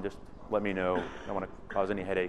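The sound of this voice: A loud man's voice, low-pitched, fast and monotone with flat intonation.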